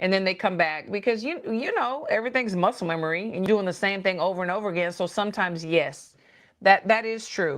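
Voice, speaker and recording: A woman with a slight Texas accent, medium pitch and ordinary pitch variation, at a fairly quick pace over a quiet background. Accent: slight country Texas. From Texas, Dallas. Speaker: boxing coach. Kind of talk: interview chat. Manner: hesitant, many fillers.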